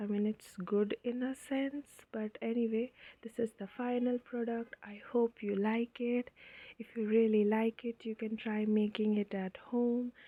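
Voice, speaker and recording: Her pitch fairly high, a woman speaks with an Indian accent in monotone, flat intonation. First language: Hindi. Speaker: craft tutorial creator. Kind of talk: tutorial. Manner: casual, hesitant with fillers.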